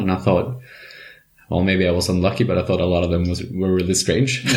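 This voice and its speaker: Audible room echo surrounds a man speaking at a very deep, low pitch. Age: young. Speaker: clinical psychologist. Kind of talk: interview.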